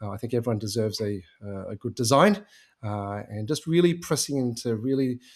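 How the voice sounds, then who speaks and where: Speaking with an Australian accent, a man swings his pitch very widely. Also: very clean recording, silent background. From Australia, Melbourne. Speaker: agency founder and conversion specialist. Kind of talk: podcast interview. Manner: many filler words.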